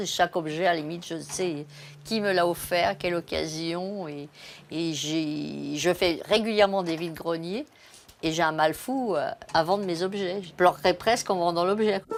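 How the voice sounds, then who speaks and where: A woman talks at a fairly slow pace in a fairly low pitch, her intonation fairly even. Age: 60s. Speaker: retiree. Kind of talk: interview. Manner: halting, many hesitations.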